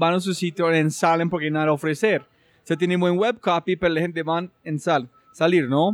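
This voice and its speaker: A man speaks in a high pitch at a fairly quick pace. His intonation stays fairly even. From United States. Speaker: podcast host. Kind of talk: interview conversation.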